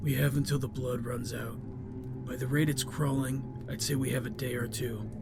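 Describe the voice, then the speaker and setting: A man does a put-on character voice at medium pitch against loud background noise. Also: moderate pace. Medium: audio drama. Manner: calm, flat, unjudging.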